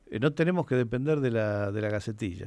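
Against a quiet background, a man with a Rioplatense accent talks at medium pitch with ordinary pitch variation. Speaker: film programmer and author. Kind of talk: radio interview.

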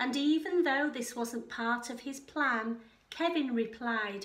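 The pace is slow and the tone fairly bright. Pitch varies in an ordinary way, and room echo is audible. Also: woman, high pitch for a woman.

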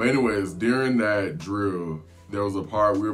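A man's voice at a fairly quick pace, with ordinary pitch variation and faint music in the background. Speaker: flight attendant vlogger. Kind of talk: casual vlog storytelling. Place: home room.

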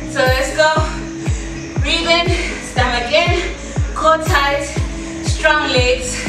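At a very slow pace, a woman speaks with audible room echo and clear music in the background. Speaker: fitness instructor. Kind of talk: workout coaching instructions. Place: gym. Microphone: camera far.

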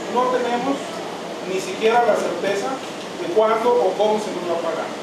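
There is noticeable background noise and audible room echo around a man's voice. He speaks at a moderate pace with ordinary pitch variation. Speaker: merchant addressing council. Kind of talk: public address to council. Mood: earnest, insistent complaint. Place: meeting room. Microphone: camera far.

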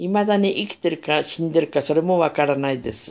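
Intonation rises and falls in a lively way as a woman talks. She keeps a moderate speed. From Japan, Sapporo, Hokkaido. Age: 60s. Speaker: vlogger telling life story; vlogger. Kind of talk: personal monologue. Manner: halting. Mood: calm, reminiscing. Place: home room. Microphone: phone near.

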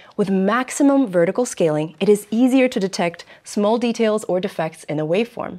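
A woman talks at a moderate pace with lively intonation against a quiet background. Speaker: presenter host. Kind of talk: tutorial. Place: studio.

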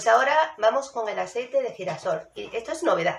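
A woman is speaking in a room with audible echo. Light background noise can be heard. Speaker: YouTube vlogger. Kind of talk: casual chat, shopping haul. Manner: soft-spoken, quiet; animated. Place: kitchen. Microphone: phone near.

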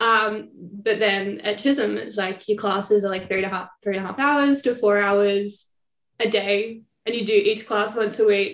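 With an Australian accent, a woman speaks at a moderate pace and fairly even intonation, with audible room echo over a quiet background. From Victoria, Australia. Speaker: former student. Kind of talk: interview. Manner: casual, filler-heavy. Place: home room. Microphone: phone near.

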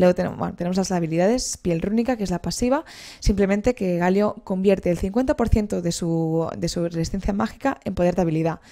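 A woman speaks at a fairly quick pace with a dark, mellow tone. Her pitch varies in an ordinary way, and the background is quiet. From Spain. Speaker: video game presenter; presenter. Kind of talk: video game tutorial. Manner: halting, frequent repetitions. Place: home room. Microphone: headset.

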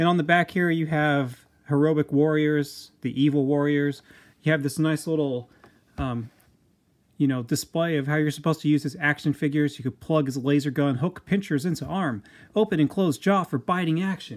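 Here is a man with an unremarkable speaking voice and an American accent, fairly high in pitch with ordinary pitch variation. He keeps a moderate pace on a very clean recording with a silent background. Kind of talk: product review. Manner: casual, filler-heavy.

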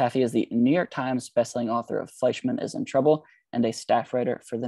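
A man speaks at a fairly quick pace in a dark, mellow tone with fairly even intonation, the sound dry with no echo and the background quiet. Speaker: bookstore event moderator. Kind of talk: event introduction. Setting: video call. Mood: warm, polite. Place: home room. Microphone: earbuds.

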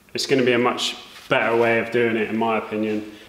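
A man is heard with audible room echo. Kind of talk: tutorial. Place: workshop.

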